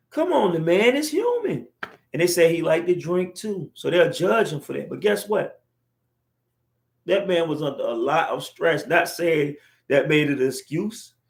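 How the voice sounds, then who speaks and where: A man speaks in an animated tone at a high pitch, his intonation lively and his pace moderate. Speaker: livestream vlogger. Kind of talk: casual monologue livestream. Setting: livestream on camera.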